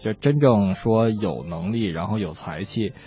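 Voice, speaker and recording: A man with a fairly low pitch speaks at a moderate pace. Noticeable background noise can be heard. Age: 30s. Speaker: radio co-host, songwriter. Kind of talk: casual chat.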